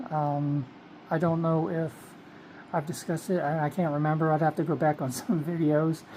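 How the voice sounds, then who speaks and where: Soft-spoken, a woman talks with a very deep, low pitch. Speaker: vlogger. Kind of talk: casual vlog monologue. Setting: bedroom at night. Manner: soft-spoken, low; hesitant, many fillers.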